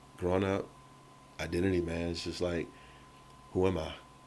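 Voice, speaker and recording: The speaker has an American accent and monotone, flat intonation. Audible room echo surrounds the voice. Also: man. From Chicago, US Midwest. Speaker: entrepreneur, mortgage lender and photographer. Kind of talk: podcast interview. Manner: casual, with many fillers.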